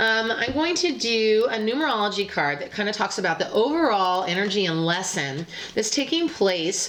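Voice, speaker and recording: A woman's voice makes very wide pitch swings, with noticeable background noise and audible room echo. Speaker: psychic tarot reader. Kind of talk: tarot reading monologue. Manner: fast; hesitant, many fillers.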